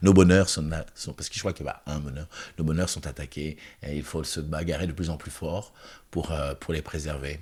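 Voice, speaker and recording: A man speaks at a moderate pace with a very deep, low pitch and vocal fry. His intonation is fairly even, in a very clean recording over a silent background. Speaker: choreographer and festival director. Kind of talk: interview conversation. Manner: halting, many repetitions.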